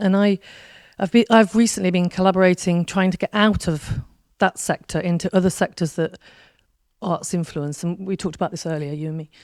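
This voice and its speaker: A woman's voice at a medium pitch, fairly even in intonation and fairly quick in pace, on a very clean recording with a silent background. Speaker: audience member, arts organization worker. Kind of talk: audience question. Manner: halting.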